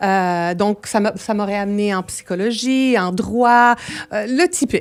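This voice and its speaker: On a very clean recording with a silent background, a woman speaks very slowly at medium pitch with ordinary pitch variation. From Montreal West Island, Quebec; born in Milan. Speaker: entrepreneur and speaker. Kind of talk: radio interview.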